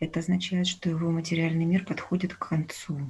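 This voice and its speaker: A woman with a fairly low pitch sounds somewhat breathy, delivering her words in a monotone, flat intonation. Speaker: student. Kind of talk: question from audience.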